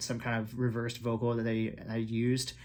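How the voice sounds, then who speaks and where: This is a man speaking. His pitch is medium. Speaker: K-pop reaction YouTuber. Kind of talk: video reaction commentary. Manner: animated, many fillers; fast.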